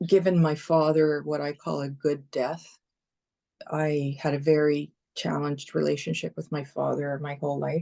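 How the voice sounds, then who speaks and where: A woman's very deep, low voice with a Canadian accent and a dark, mellow tone, over a quiet background. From Canada, Toronto. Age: 60s. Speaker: comedian and retired broadcast journalist. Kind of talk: casual chat.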